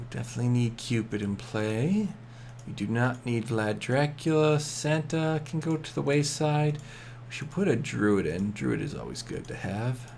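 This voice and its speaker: The man's voice sits at a medium pitch, somewhat breathy, with lively intonation. He keeps a moderate pace, and room echo is audible. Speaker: game streamer. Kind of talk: live gameplay commentary. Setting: home late-night stream. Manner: quieter than usual, kept down; casual, repetitive filler.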